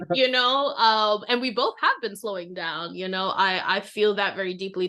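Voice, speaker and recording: Against a quiet background, a woman speaks. Her tone is bright and sharp. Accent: American. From New York. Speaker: podcast co-host. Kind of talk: casual chat.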